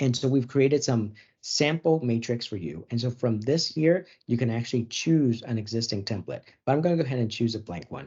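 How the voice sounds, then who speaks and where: Somewhat breathy and moving at a fairly quick pace, the voice shows ordinary pitch variation against a quiet background. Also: man, medium pitch for a man. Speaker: software webinar presenter; webinar presenter. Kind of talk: product demo webinar. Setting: online webinar. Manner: fast. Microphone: video call.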